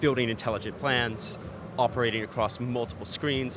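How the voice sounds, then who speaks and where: Music plays in the background as a man speaks with an American accent. His pace is fairly quick. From United States. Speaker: ad tech executive. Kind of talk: trade show interview. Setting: event TV studio.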